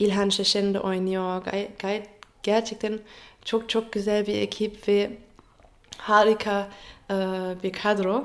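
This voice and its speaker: With a German accent, a woman talks at a very slow pace in a flat monotone, leaving long, frequent pauses. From Germany. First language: German (speaking Turkish). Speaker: actress. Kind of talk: interview. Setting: radio interview in Istanbul. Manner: halting, with many fillers. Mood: cheerful, smiling. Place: home room. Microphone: phone near.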